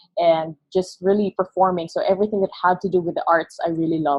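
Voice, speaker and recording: Fairly low in pitch, a woman speaks at a fairly quick pace in a flat monotone. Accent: Filipino. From Philippines, Negros Occidental. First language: Hiligaynon. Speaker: creative agency founder. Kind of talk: podcast interview. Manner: halting.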